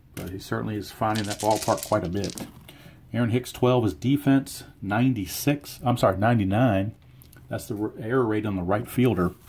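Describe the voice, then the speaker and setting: Somewhat breathy, a man speaks at a fairly quick pace. His pitch varies in an ordinary way. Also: fairly low pitch for a man. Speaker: tabletop baseball game player and narrator. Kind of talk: play-by-play of a dice baseball game. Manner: casual, thinking aloud.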